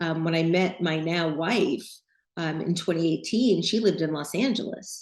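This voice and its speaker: An unremarkable speaking voice from a woman with an American accent, fairly low in pitch, at a moderate pace with ordinary pitch variation. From New York City. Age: 60s. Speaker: designer and podcast host. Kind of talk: interview.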